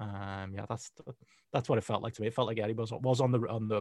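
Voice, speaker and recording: A man with an ordinary speaking voice and a medium pitch talks with ordinary pitch variation in a dry, close sound with no echo, on a very clean recording with a silent background. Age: 30s. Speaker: wrestling journalist. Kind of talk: casual chat.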